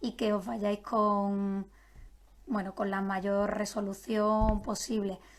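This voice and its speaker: The woman has a plain, everyday voice with a fairly high pitch. She talks at a fairly slow pace. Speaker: nutritionist. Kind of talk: live-streamed health talk.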